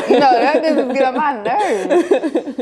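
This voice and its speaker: With noticeable background noise behind her, a woman talks in an American accent with lively intonation. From North Carolina. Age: 20s. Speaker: fashion designer and business owner. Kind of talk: podcast interview. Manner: casual.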